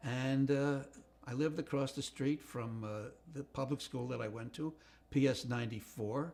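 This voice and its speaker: In a New York accent, a man with a medium pitch speaks at a moderate pace with fairly even intonation. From New York City, the Bronx. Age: 80s+. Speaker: retired comedy writer. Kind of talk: life story interview. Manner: halting, many fillers.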